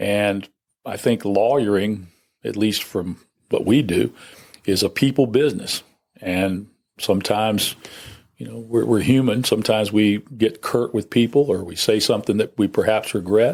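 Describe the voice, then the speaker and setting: A man speaks with a plain, everyday voice at a moderate pace. His pitch is fairly low and his intonation fairly even. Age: 60s. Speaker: criminal defense lawyer. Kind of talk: interview. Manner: conversational.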